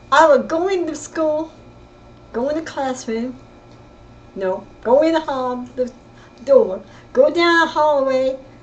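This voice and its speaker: A woman with an American accent and lively intonation, fairly slow with long, frequent pauses, over noticeable background noise. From California, East Bay. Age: 70s. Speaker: family storyteller. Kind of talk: personal storytelling. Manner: halting, with self-corrections.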